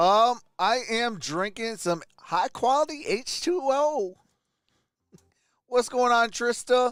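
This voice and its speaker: On a very clean recording with a silent background, a man speaks at an extremely high pitch with lively intonation. He goes very slowly, with long, frequent pauses. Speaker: sports streamer. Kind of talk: live stream chat.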